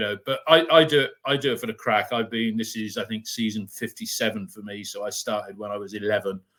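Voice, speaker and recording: Fairly quick in pace, a man's medium-pitched voice shows ordinary pitch variation. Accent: West Country. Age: 60s. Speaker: fan podcast host. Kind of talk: casual chat.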